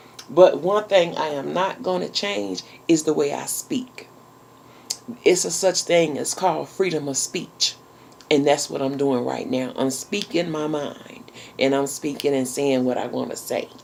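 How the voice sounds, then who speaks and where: Amid noticeable background noise, a woman with a very deep, low voice speaks in an animated tone with lively intonation. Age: 40s. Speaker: YouTube vlogger. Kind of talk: casual chat.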